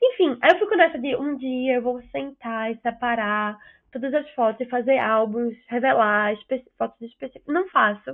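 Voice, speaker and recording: A woman's high-pitched voice with a Recife accent and ordinary pitch variation. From Recife, northeast Brazil. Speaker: podcast co-host. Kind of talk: casual chat. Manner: very fast. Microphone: choppy internet connection.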